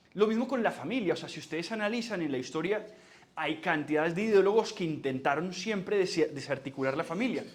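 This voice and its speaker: A man's fairly quick speech with audible room echo. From Colombia, Barranquilla with Antioquian parents. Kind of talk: lecture.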